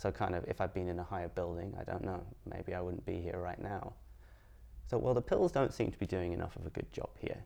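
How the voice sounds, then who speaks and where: A man with a very deep, low pitch and a dark, mellow tone talks at a fairly quick pace, with lively intonation and vocal fry. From Edinburgh, Scotland. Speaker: podcaster. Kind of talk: casual interview chat.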